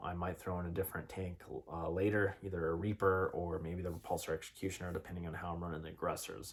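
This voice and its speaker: A man speaks at a very fast pace in a very deep, low pitch. His voice is somewhat breathy, with monotone, flat intonation. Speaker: tabletop wargaming youtuber. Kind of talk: casual tutorial.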